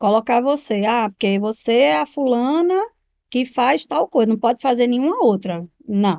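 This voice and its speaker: A woman speaks at a high pitch with very wide pitch swings and very even loudness. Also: moderate pace. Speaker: entrepreneur and speaker. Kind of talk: podcast interview. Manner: animated.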